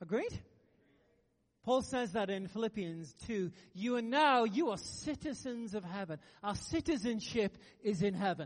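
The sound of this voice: A high-pitched man at a fairly slow pace with lively intonation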